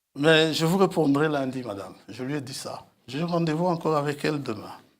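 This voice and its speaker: At a moderate pace, a man with a fairly high pitch and an unremarkable speaking voice shows ordinary pitch variation and big swings in loudness. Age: 60s. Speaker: preacher. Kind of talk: sermon.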